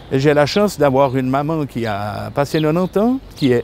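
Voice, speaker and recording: Noticeable noise runs in the background while a man talks with very wide swings in pitch. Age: 60s. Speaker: retired police officer, volunteer guardian. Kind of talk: testimony. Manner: halting, with repetitions and hesitations.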